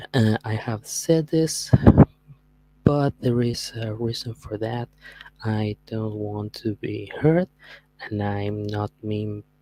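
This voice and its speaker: Very slow delivery with a Spanish accent, broken by long, frequent pauses. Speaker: streamer. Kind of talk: podcast monologue. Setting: livestream. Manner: halting.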